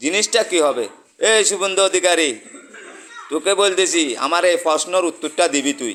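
Ordinary pitch variation shapes the high voice of a man as he talks. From Bangladesh, Chittagong. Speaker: YouTuber giving political commentary. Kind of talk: political rant monologue. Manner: animated.

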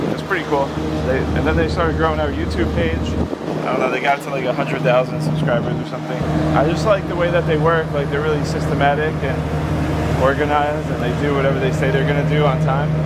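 Through loud background noise, a man talks at a fairly quick pace. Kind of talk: casual vlog chat. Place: farm machine. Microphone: camera far.

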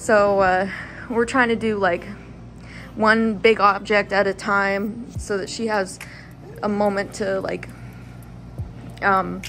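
A woman speaks at a very slow pace in a monotone, flat intonation. Long, frequent pauses break her speech over light background noise. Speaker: vlogger. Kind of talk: casual vlog chat. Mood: cheerful, a bit worried. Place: home room. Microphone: phone near.

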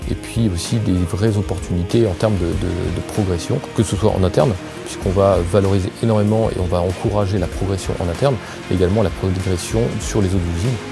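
With clear music in the background, a man speaks at a fairly quick pace and with ordinary pitch variation. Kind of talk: interview answer. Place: office. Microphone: lapel.

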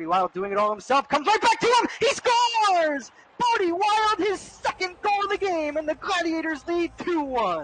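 A woman speaks at a moderate pace in an extremely high pitch, her tone excited and her pitch swinging very widely. Noticeable background noise sits behind her voice. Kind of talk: live sports commentary. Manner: excited goal calls with rising energy.

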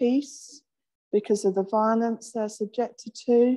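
With a quiet background, a woman speaks in fairly even intonation. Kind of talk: sermon. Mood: gentle, reflective. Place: church.

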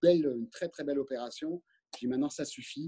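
A man talks at a very fast pace in a dark, mellow tone with fairly high pitch. The background is quiet. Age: 50s. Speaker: company director. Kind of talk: interview. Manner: halting. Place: office. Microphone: video call.

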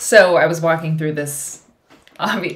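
A woman's very deep, low voice at a moderate pace. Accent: American. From US Midwest. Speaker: vlogger. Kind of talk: casual chat. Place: home room.

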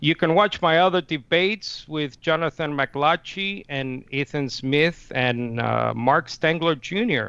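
A man speaks very slowly with hardly any pauses, his fairly high voice showing ordinary pitch variation on a dry recording with no echo. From Nicaragua. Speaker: Unitarian debater and channel manager; debater. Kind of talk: formal debate. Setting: video call. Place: home room. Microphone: headset.

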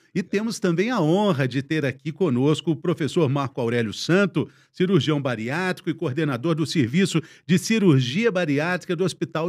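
Against a quiet background, a man speaks at a moderate pace. His fairly high voice has lively intonation. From Brazil. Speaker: TV health show host, journalist. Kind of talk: hosted panel discussion. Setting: studio. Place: studio. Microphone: studio mic.

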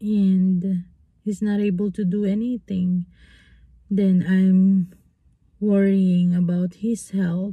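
A woman's somewhat breathy, dark, mellow voice, monotone and flat at a very slow pace, in a dry sound with no echo over a quiet background. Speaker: vlogger. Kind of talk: casual vlog chat. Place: car. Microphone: phone near.

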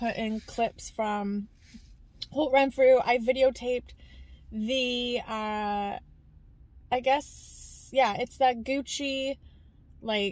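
Here a woman talks at a very slow pace with long, frequent pauses. Her pitch is high, her intonation fairly even, and the sound is dry with no echo. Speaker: vlogger. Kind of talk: casual vlog chat. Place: car. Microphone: phone near.

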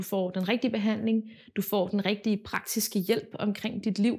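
Against a quiet background, a voice with vocal fry and a dark, mellow tone speaks at a moderate pace. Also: woman. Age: 20s. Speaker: patient. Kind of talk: testimony. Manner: halting, many filler words. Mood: calm, earnest. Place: home room.

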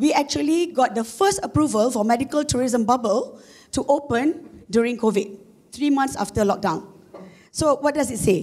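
A woman with a Malaysian accent, a high pitch, lively intonation and a moderate pace. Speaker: corporate marketing executive. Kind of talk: conference talk. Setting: stage with audience. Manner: hesitant, many fillers.

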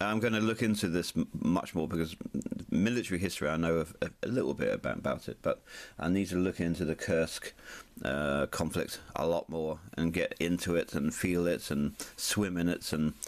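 Ordinary pitch variation at a moderate pace. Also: man, very deep, low pitch for a man. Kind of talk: casual vlog chat. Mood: excited, light-hearted. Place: home room.

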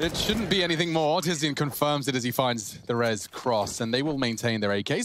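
Music plays behind a man of medium pitch who talks at a fairly quick pace with lively intonation. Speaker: esports caster. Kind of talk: live commentary. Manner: excitable.

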